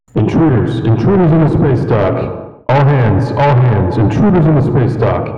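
Using a put-on character voice, a man booms at a medium pitch and moderate pace, with a clear echo and faint music in the background. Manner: urgent, alarmed.

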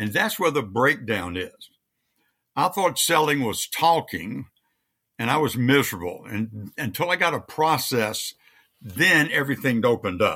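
A man with an American accent and a medium pitch speaks at a fairly slow pace in a bright, sharp tone with vocal fry and very wide pitch swings, on a very clean recording with a silent background. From US South, Louisiana. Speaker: sales coach and trainer. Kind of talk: interview.

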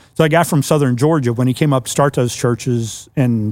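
A man with an American accent speaks at a moderate pace in an unremarkable speaking voice, medium in pitch, on a very clean recording with a silent background. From US Mid-Atlantic (Washington DC area). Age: 60s. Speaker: church network executive director, pastor. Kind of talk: casual chat.

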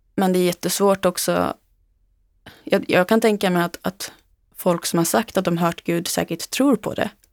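In a very clean recording with a silent background and a dry, close sound with no echo, a woman uses a plain, everyday voice. Her pitch is medium, her pace moderate, and her pitch variation ordinary. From Sweden, Uppland (Knutby). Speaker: author. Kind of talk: interview testimony. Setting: studio.

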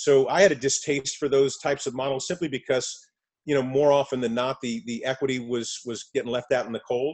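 Speaking at a fairly quick pace with a medium pitch and fairly even intonation, a man with an American accent has an ordinary speaking voice. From New York. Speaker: entertainment lawyer and film producer. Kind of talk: casual interview.

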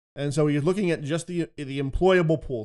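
A man with an American accent has an ordinary speaking voice, fairly high in pitch, with ordinary pitch variation. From Philadelphia, US. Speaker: economic analyst. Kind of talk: interview.

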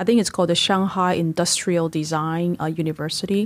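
Recorded very cleanly against a silent background, a woman speaks in a fairly low pitch. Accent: Taiwanese. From Taiwan. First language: Mandarin Chinese. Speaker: business executive and investor. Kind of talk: interview. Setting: studio.

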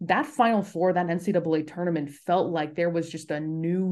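Against a quiet background, a woman with a General American accent speaks in a normal speaking voice at a fairly low pitch, moderate pace, and ordinary pitch variation. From US West Coast, Los Angeles. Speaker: sports broadcaster. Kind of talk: casual interview.

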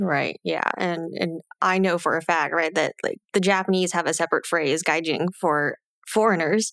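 A normal speaking voice at a moderate pace, with fairly even intonation and very even loudness, recorded with a dry, close sound and no echo. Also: woman, fairly low pitch for a woman, very clean recording, silent background. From United States. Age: 30s. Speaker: podcast host and money coach. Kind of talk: casual chat.

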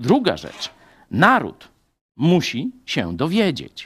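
The voice moves through very wide pitch swings. It is captured in a very clean recording with a silent background. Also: man. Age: 50s. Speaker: pastor. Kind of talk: sermon.

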